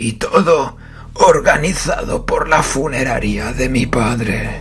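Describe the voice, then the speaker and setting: A raspy male voice talks at a fairly slow pace. Background noise is clearly audible. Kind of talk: horror narration. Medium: read story. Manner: rambling, digressive.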